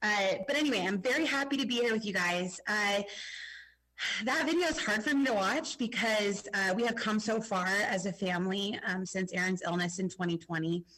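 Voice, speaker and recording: A woman speaks at a moderate pace with lively intonation, medium pitch and very even loudness. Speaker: school teacher. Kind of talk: testimony. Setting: video call.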